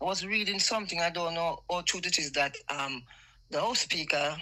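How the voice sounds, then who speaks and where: With a Jamaican accent, a woman speaks at a fairly low pitch with ordinary pitch variation. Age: 60s. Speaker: caller. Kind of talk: heated opinion call-in. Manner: animated.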